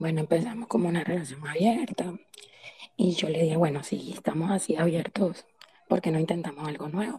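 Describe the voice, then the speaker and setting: A woman with a coastal Colombian accent talks at a fairly quick pace. Her fairly low voice has ordinary pitch variation. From Colombian Caribbean coast, Santa Marta. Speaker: participant sharing experience. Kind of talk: personal story in live chat.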